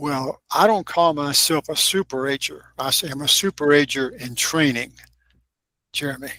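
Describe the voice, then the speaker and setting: Speaking at a moderate pace in a Kentucky accent, a man with a fairly high pitch, ordinary pitch variation and a bright, sharp tone sounds dry and close with no echo. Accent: Southern US (Kentucky). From US South, Kentucky (Lexington). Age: 80s+. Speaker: author and filmmaker. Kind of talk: interview.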